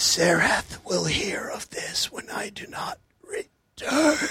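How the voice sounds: In a put-on character voice, the speaker is raspy and hissing, with a high pitch and a very slow pace.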